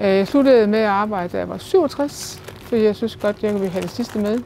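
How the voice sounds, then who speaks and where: Noticeable background noise sits behind a voice with ordinary pitch variation. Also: woman. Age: 70s. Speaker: senior supermarket employee. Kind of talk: interview testimony.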